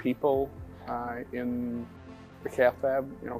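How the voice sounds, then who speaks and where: With music in the background, a man talks in a monotone, flat manner at a medium pitch. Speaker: cardiologist. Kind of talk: interview answer.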